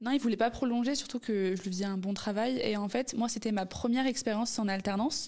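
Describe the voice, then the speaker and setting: A woman with a normal speaking voice talks at a fairly quick pace, with hardly any pauses. Her pitch is fairly high and her intonation fairly even. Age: 20s. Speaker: business student and entrepreneur. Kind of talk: casual interview.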